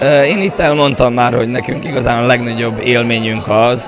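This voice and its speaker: A man's medium-pitched voice at a moderate pace, ordinary pitch variation, audible room echo and crowd noise in the background. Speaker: folk dance teacher and choreographer. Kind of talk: interview. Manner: halting, many fillers.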